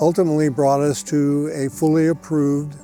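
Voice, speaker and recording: A man's fairly high voice over music in the background. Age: 80s+. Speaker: homeowner, construction client. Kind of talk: customer testimonial.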